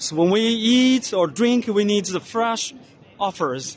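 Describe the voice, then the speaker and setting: With crowd noise in the background, a man with a high pitch speaks very slowly with lively intonation. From China. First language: Chinese. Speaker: vlogger. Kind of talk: walking tour commentary. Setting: trade exhibition hall. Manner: loud.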